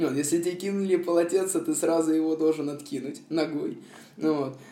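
A man's high-pitched voice at a moderate pace, with audible room echo. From Moscow, Russia. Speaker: former prisoner. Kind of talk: testimony. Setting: remote call. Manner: hesitant, filler-heavy.

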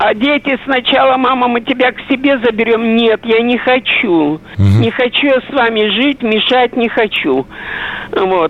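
A woman speaks at a fairly slow pace in a fairly high pitch, with ordinary pitch variation. Noticeable background noise sits behind her voice. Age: old. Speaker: caller. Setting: phone call.

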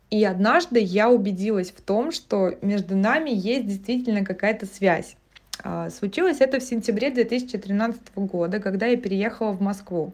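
With a normal speaking voice, a woman talks at a medium pitch with ordinary pitch variation. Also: moderate pace. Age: 20s. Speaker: podcast host. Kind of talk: personal monologue podcast.

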